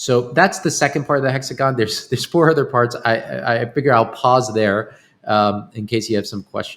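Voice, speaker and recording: Recorded very cleanly with a silent background, a man with an American accent talks at a fairly quick pace and medium pitch with ordinary pitch variation. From New York, Long Island. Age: 30s. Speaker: longevity company founder. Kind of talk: interview. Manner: halting, repeats words.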